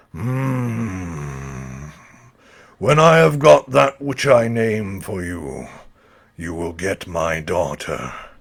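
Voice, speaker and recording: This man uses a put-on character voice that is raspy and very deep, low in pitch. He talks at a very slow pace. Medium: read story. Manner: slow, ominous, contemptuous.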